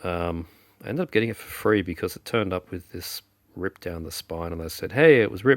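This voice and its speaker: A man talks at a very fast pace, his very deep, low voice carrying lively intonation. The recording is very clean with a silent background and a dry, close sound with no echo. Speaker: film collector. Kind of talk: casual talk to camera.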